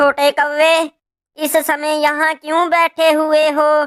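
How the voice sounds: In a cartoonish character voice, a woman speaks very slowly at a high pitch with monotone, flat intonation.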